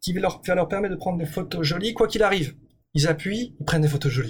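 The man's speech carries lively intonation. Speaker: entrepreneur. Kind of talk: interview. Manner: hesitant.

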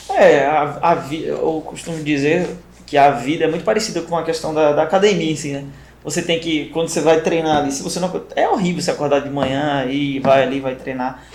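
Fairly quick and fairly high-pitched, a man speaks with fairly even intonation through noticeable background noise and audible room echo. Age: 30s. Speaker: podcast host, first aid training company. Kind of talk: casual interview chat.

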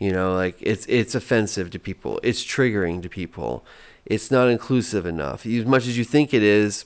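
In a very clean recording with a silent background, a man with an unremarkable speaking voice talks at a fairly slow pace, his fairly low pitch showing ordinary pitch variation. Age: 40s. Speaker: activist and event organizer. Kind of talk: casual interview. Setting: at his home.

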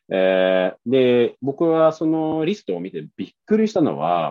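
A man with a Swedish accent at a fairly slow pace. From Sweden. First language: Swedish (speaking Japanese). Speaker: interview guest. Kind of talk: casual interview chat.

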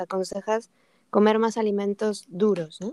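Speaking at a fairly slow pace, a woman has a plain, everyday voice, a medium pitch and ordinary pitch variation. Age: 40s. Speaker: podcast host. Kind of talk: interview.

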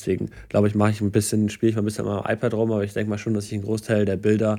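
A very fast man's voice, fairly low in pitch, on a very clean recording with a silent background. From Hamburg, northern Germany. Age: 20s. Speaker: photographer. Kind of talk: casual chat.

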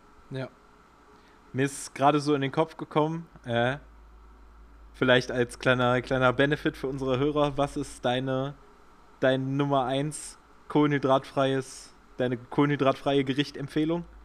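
With long, frequent pauses, a man talks at a moderate pace and medium pitch in a monotone, flat intonation. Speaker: podcast co-host, amateur cyclist. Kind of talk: casual chat.

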